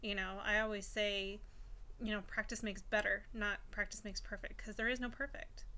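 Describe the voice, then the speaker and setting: A woman speaks at a moderate tempo, and audible room echo hangs around her words. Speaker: stay-at-home mom vlogger. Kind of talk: casual vlog monologue. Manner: hesitant with fillers and repetitions.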